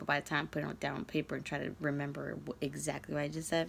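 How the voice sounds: A woman speaks fast in a low, raspy voice with vocal fry and little pitch movement.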